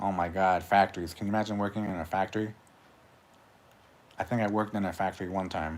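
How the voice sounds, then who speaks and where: Mumbling in a monotone, flat way at a very fast pace with long, frequent pauses, the speaker is captured in a very clean recording with a silent background. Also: man, very deep, low pitch for a man. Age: 40s. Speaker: YouTuber, livestreamer. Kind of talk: casual livestream monologue. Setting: solo livestream. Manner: mumbling with long pauses.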